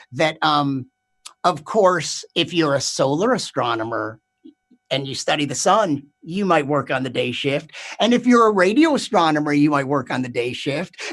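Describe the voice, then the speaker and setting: An ordinary speaking voice from a man, fairly high in pitch, lively in intonation, at a moderate pace. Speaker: stand-up comedian. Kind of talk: stand-up comedy set.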